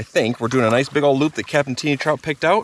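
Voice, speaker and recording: Noticeable background noise sits behind this man's medium-pitched voice. The sound is dry and close, with no echo. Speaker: outdoor adventure vlogger. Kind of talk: casual vlog narration outdoors. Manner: fast.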